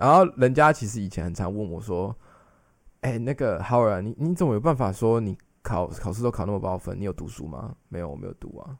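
Fairly quick and lively in intonation, a man's fairly low voice comes through a very clean recording with a silent background. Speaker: translator and podcast co-host. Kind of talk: casual chat.

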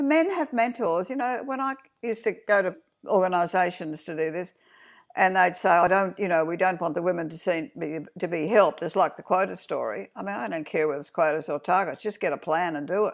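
A woman speaks at a fairly quick pace with lively intonation. The recording is very clean, with a silent background. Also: medium pitch for a woman. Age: 70s. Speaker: feminist activist. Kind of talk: interview.

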